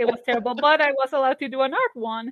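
A woman with a Spanish accent speaks at a high pitch with ordinary pitch variation. The sound is dry and close with no echo, against a quiet background. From Colombia, Barranquilla. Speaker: comic artist and animator. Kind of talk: casual interview.

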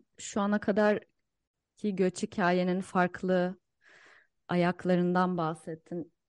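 In a monotone, flat intonation, a woman talks at a very slow pace. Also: medium pitch for a woman. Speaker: podcast co-host and academic. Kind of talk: podcast interview.

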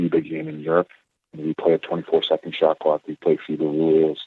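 A man talks at a moderate pace. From Toronto, Canada. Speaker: university basketball coach. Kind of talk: interview.

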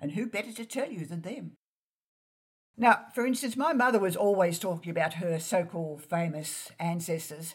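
With an Australian accent, a woman talks at a moderate pace in a somewhat breathy voice that sits fairly low for a woman. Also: lively intonation. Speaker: genealogist and author. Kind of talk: interview.

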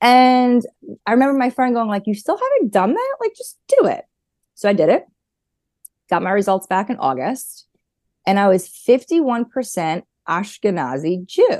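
Pausing often and at length, a woman speaks with a New York accent. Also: moderate pace. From New York, Long Island. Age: 40s. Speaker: therapist. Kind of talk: casual interview.

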